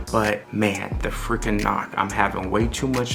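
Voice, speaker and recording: Soft-spoken, a man talks amid audible room echo with music in the background. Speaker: car enthusiast video creator. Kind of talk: casual vlog. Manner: soft-spoken, talking low.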